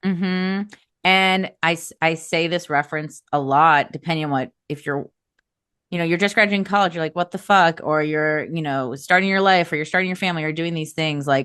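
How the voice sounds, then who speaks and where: Over a quiet background, a woman with an American accent uses an unremarkable speaking voice, with fairly low pitch, fairly even intonation and a fairly quick pace. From US Midwest, Chicago suburbs. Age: 30s. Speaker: astrology podcast host. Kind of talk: casual chat.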